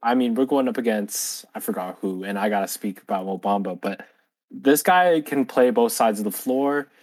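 Using a normal speaking voice, a man holds a medium pitch with ordinary pitch variation. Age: 20s. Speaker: podcast co-host. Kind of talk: casual chat.

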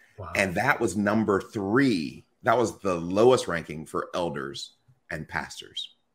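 An unremarkable speaking voice moves at a fairly slow pace with lively intonation and big swings in loudness, in a very clean recording with a silent background. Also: man, fairly low pitch for a man. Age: 40s. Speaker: pastor and author. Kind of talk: interview conversation.

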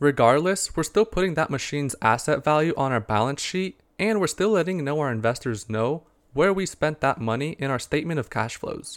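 A man speaks fairly quickly in a plain, everyday voice, pitched fairly high with lively intonation. The recording is very clean, with a silent background. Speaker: investing and sports betting podcast host. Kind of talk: solo podcast monologue about investing and sports picks.

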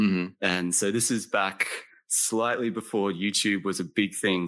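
A man's fairly low voice, bright and sharp in tone, with fairly even intonation, in a very clean recording against a silent background. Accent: American. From Australia. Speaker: historian. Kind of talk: interview.

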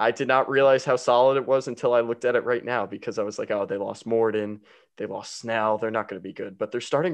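A man with an American accent and a normal speaking voice, medium in pitch with fairly even intonation, over a quiet background. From New Jersey. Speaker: podcast host, baseball fan. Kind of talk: casual chat, sports talk. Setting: remote call between hosts.

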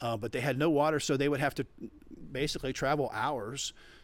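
This very clean recording has a silent background. A man speaks with an American accent at a very fast pace. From Florida. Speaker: pastor and missionary. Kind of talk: interview.

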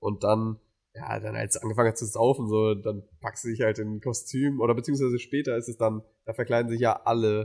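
A man with a plain, everyday voice talks at a fairly quick pace and medium pitch with fairly even intonation. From Mainz, Germany. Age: 20s. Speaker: student podcast co-host. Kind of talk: casual chat.

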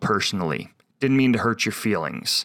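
The recording is very clean, the background silent. The voice belongs to a man. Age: 40s. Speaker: logo and vector designer, podcast host. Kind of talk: solo podcast monologue.

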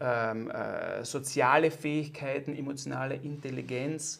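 A man talks in a normal speaking voice, fairly high in pitch, with fairly even intonation. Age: 40s. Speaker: podcast host, former pro athlete. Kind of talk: scripted narration; interview.

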